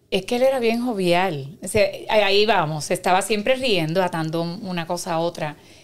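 In a very clean recording with a silent background, a woman with a Puerto Rican accent speaks at medium pitch and a moderate pace. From Puerto Rico, Carolina. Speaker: concert promoter. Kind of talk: casual chat.

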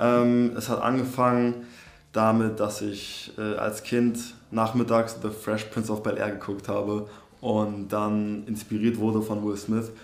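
A man's fairly low, flat monotone at a very slow pace, with audible room echo. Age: 20s. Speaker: aspiring actor. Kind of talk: casual interview. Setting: in person, same room as host. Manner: halting, many fillers.

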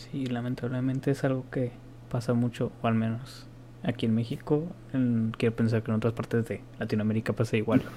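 Fairly quick, somewhat breathy speech with a dark, mellow tone and monotone, flat intonation. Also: man, medium pitch for a man. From Mexico. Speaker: podcast co-host. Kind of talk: casual chat.

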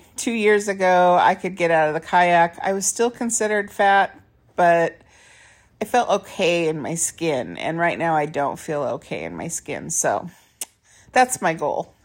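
In a very clean recording with a silent background, a woman uses an ordinary speaking voice, fairly low in pitch with ordinary pitch variation, at a fairly slow pace. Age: 50s. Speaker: podcast host and author. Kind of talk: solo monologue. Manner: casual with laughs.

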